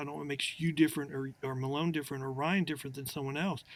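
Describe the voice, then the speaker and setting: The recording is very clean, set against a silent background. In it, a man talks at a fairly high pitch. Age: 60s. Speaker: attorney. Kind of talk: casual chat. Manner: halting.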